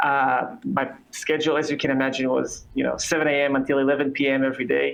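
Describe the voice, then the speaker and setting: Speaking at a fairly quick pace, a man has an Israeli accent. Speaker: coffee company founder. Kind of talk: interview.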